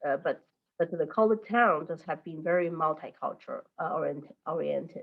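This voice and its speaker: A woman with a Chinese accent, a fairly low pitch and ordinary pitch variation. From mainland China. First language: Mandarin. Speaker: teacher. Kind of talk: interview. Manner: halting, many fillers.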